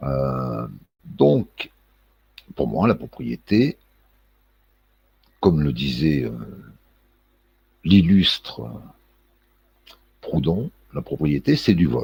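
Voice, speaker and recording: Speaking very slowly with long, frequent pauses, a man uses lively intonation in a very deep, low voice. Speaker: political commentary vlogger. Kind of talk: casual monologue vlog. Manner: hesitant, many fillers and repetitions.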